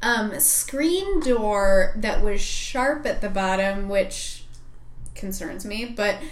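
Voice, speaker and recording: A woman with an American accent at a very slow pace, fairly high in pitch with lively intonation, amid audible room echo. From Michigan, Upper Peninsula. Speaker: veterinarian and podcast co-host. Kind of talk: casual chat.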